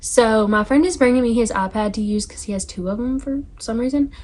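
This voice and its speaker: A woman with a Southern US accent talks at a fairly quick pace, her fairly high pitch showing ordinary variation. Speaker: book YouTuber. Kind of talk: casual vlog chat. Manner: fast; animated.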